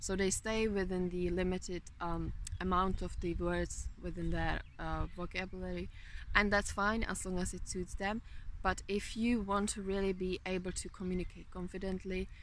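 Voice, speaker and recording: A woman with a Czech accent at a moderate pace. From Czech Republic. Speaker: motivational vlogger. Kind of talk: motivational talk.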